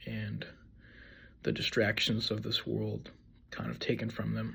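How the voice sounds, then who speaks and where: The man talks at a fairly slow pace. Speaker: person sharing faith testimony. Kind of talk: testimony. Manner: monotone; halting, many fillers and repeats.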